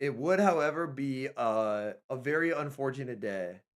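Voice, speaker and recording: The recording is very clean, with a silent background. A man with a fairly high pitch sounds animated, his pitch swinging very widely. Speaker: esports streamer and caster. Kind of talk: live stream commentary. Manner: casual, animated.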